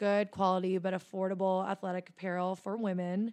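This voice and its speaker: A woman with an American accent talks at a moderate pace and medium pitch in a normal speaking voice. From US, Philadelphia suburbs. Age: 20s. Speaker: entrepreneur. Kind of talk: interview.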